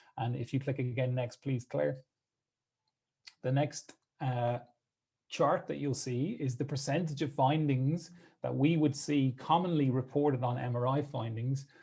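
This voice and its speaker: Speaking with an Irish accent in a dark, mellow, somewhat breathy tone, the voice moves at a fairly slow pace with fairly even intonation and long, frequent pauses. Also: man, medium pitch for a man. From Ireland. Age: 30s. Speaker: physiotherapist. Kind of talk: presentation.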